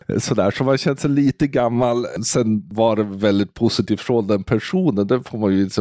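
The sound is dry and close with no echo as a man speaks at fairly low pitch in a dark, mellow tone. He moves at a moderate pace with ordinary pitch variation. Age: 50s. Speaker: social media podcast co-host. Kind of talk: casual chat.

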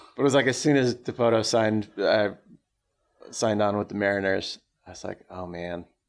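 Speaking at a fairly quick pace with an American accent, a man with a fairly low pitch shows ordinary pitch variation, big swings in loudness, and long, frequent pauses. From Southern California, Orange County. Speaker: rock drummer and baseball podcaster. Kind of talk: casual interview. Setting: studio.

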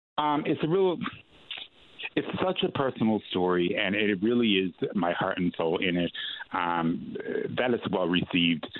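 Lively intonation in a Newfoundland accent, with very even loudness and long, frequent pauses. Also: man, fairly low pitch for a man, moderate pace. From St. John's, Newfoundland (East End). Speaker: actor and playwright, theatre artistic director. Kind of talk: radio interview. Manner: hesitant, many fillers and repeats.

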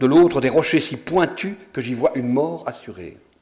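A man with an unremarkable speaking voice. His pitch sits fairly high, with ordinary variation. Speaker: actor reading texts aloud. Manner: formal, measured, with ironic, wistful lightness.

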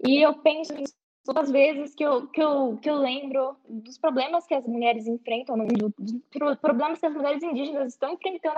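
Her pitch sits high for a woman. The woman's pitch variation is ordinary. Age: 20s. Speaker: university student. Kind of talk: online panel discussion.

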